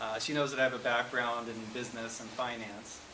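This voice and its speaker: Through noticeable background noise and audible room echo, a man speaks at a medium pitch in a monotone, flat intonation. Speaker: guest speaker and musician. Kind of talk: talk. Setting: church.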